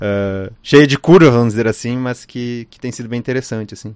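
Recorded dry and close with no echo on a very clean, silent background, a man speaks at a fairly quick pace in a medium pitch. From Rio Grande do Sul, Brazil. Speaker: film editor. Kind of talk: interview. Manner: halting, many fillers and repetitions.

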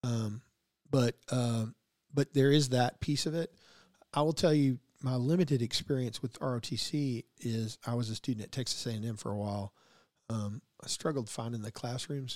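A man's medium-pitched voice at a moderate pace, with ordinary pitch variation and a dry, close sound with no echo. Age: 50s. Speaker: podcast host, salesman. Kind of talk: casual interview. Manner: talkative.

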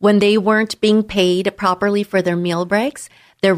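A woman with an American accent has an unremarkable speaking voice, medium in pitch, with fairly even intonation. She speaks at a moderate pace, and the sound is dry and close with no echo. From San Diego, California. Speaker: immigration attorney. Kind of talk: radio interview.

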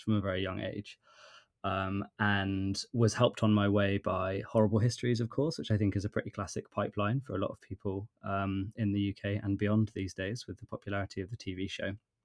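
Using a normal speaking voice, a man talks at a fairly quick pace in a dry, close sound with no echo. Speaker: podcast co-host. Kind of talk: casual chat.

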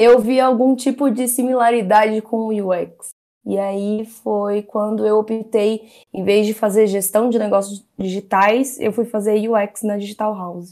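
Fairly high in pitch, a woman talks at a fairly slow pace. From Brazil, São Paulo (Zona Norte). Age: 20s. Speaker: product designer. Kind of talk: casual interview. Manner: halting, many fillers.

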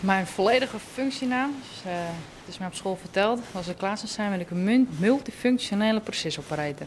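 Her intonation is lively and her pace fairly quick, at a medium pitch for a woman. Loudness swings widely, with noticeable background noise behind her. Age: 20s. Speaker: process operator at steelworks. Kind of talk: interview testimony.

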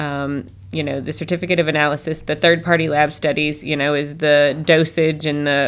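A woman with a slight Southern US accent, very deep and low in pitch, monotone and flat, at a fairly quick pace, in a very clean recording with a silent background. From Northern Michigan. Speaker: holistic doctor. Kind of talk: casual interview chat.

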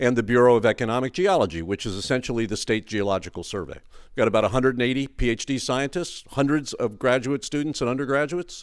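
Talking at a very fast pace, a man with an American accent has a medium pitch and ordinary pitch variation in a very clean recording with a silent background. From US Northeast, New York City. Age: 70s. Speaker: research scientist. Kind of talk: interview. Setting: at a conference.

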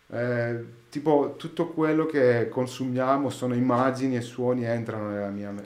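In a room with audible echo, a man of medium pitch talks at a moderate pace with fairly even intonation. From Greece, Athens. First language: Greek (speaking Italian). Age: 30s. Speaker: sound engineer. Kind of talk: casual chat. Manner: halting.

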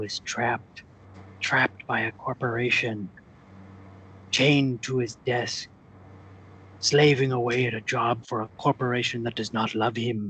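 Putting on a character voice, a man speaks at a medium pitch. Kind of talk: comic mock-pirate speech. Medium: comedy sketch. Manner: grandiose, preachy, intense.

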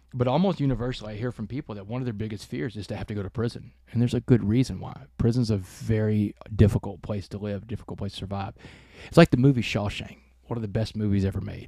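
A man's fairly low, dark and mellow voice at a very fast pace, with big swings in loudness and ordinary pitch variation, on a very clean recording with a silent background. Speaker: keynote speaker and author. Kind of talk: interview storytelling. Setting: ranch, in person.

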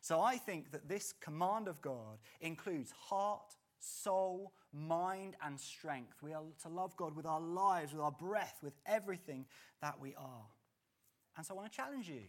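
Big swings in loudness mark a man with an English accent who speaks at a high pitch and a fairly slow pace with lively intonation. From England. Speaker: pastor. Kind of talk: sermon. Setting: church.

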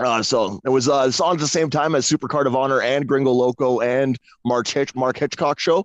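Using a plain, everyday voice, a man with a Canadian accent speaks at a fairly quick pace with fairly even intonation. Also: medium pitch for a man. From Canada. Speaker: caller. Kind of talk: casual chat. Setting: outdoors.

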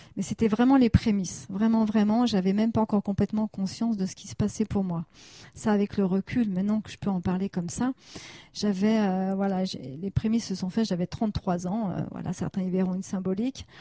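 Heard in a dry, close sound with no echo, a woman with a medium pitch and a dark, mellow, somewhat breathy tone speaks at a fairly quick pace with ordinary pitch variation. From France, Annecy (Haute-Savoie). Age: 40s. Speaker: therapist. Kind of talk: interview.

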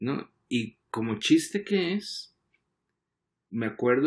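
The voice swings very widely in pitch on a very clean recording with a silent background. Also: man. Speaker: advertising creative director. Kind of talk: casual chat. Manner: halting, frequent repetitions.

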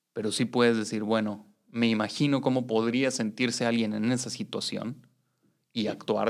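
Medium-pitched man with a Mexican accent, fairly even intonation, moderate pace. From Mexico. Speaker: activist and educator. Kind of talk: interview conversation.

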